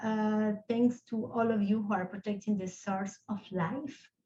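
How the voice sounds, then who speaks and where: A woman with a non-native accent has a dark, mellow tone and fairly high pitch. Her voice is somewhat breathy, with fairly even intonation. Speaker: lawyer, rights of nature advocate. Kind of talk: panel discussion closing remarks. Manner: halting, repeats words.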